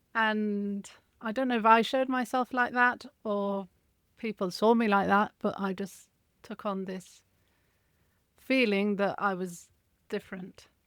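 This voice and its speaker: On a very clean recording with a silent background, a woman speaks in an English accent at a fairly slow pace. Her pitch is medium, and she leaves long, frequent pauses. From Spain, English mother. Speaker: alcohol freedom coach and writer. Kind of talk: interview, personal story.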